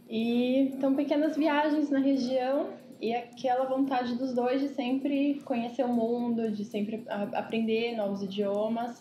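Fairly slow, fairly even speech with hardly any pauses and audible room echo. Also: woman, high pitch for a woman. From Ribeirão Preto, São Paulo state, Brazil. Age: 20s. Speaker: economist turned traveler, digital nomad. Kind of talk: casual interview chat.

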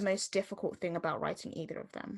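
With a Southeast London accent, a woman talks at a moderate pace. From Southeast London, England. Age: young. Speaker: podcast host. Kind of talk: casual chat. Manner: youthful, filler-heavy speech.

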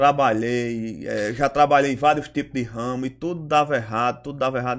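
A man at medium pitch and moderate pace with fairly even intonation, on a very clean recording with a silent background. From Ceará, Brazil. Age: 30s. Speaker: local political organizer. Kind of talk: interview. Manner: halting.

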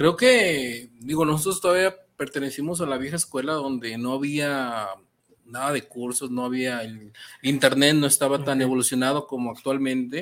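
A man's unremarkable speaking voice, fairly high in pitch, with ordinary pitch variation and a moderate pace, on a very clean recording with a silent background. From central Mexico (Metepec, State of Mexico). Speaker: sculptor. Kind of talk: interview, casual conversation.

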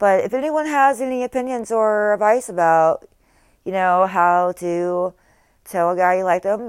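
On a very clean recording with a silent background, a woman with an American accent talks with lively intonation. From US South. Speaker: podcaster. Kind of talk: casual monologue. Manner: halting, many ums.

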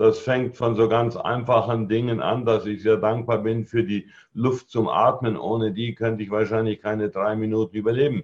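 A man with a normal speaking voice talks at a moderate pace and medium pitch, keeping fairly even intonation and hardly any pauses. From Germany, Allgäu (Bavaria/Swabia). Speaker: network marketing trainer and speaker. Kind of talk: podcast interview. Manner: calm, composed.

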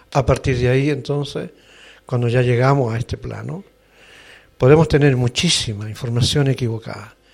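Speaking in a Chilean accent, a man uses a medium pitch with ordinary pitch variation, a somewhat breathy delivery, a moderate pace and long, frequent pauses. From northern Chile, Antofagasta. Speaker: actor and seminar teacher. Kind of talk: interview. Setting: studio.

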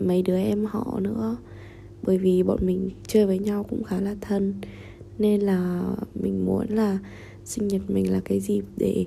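A woman speaks at a very slow pace. She takes long, frequent pauses. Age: 20s. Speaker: vlogger. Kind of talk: personal diary monologue.

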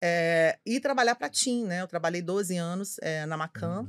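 A woman with a normal speaking voice talks at a moderate pace and medium pitch with lively intonation. The sound is dry and close with no echo, on a very clean recording with a silent background. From Belo Horizonte, Minas Gerais, Brazil. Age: 50s. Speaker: advertising executive. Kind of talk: casual chat.

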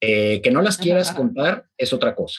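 A man's fairly high voice with vocal fry and very wide pitch swings, dry and close with no echo. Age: 40s. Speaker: keto diet practitioner and clinic owner. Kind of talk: interview conversation.

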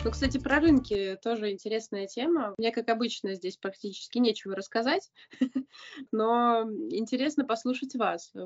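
A woman's ordinary speaking voice, fairly high in pitch, with ordinary pitch variation and a moderate pace. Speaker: podcast host. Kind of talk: casual chat. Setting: remote call.

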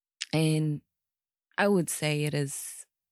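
The voice has a New Zealand accent. The sound is dry and close with no echo. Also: woman. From New Zealand, born in the Philippines. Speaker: podcast guest. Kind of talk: casual chat.

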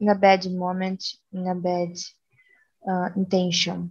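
A woman's medium-pitched voice with a Portuguese accent, somewhat breathy and dark and mellow in tone. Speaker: biology student. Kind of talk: casual chat.

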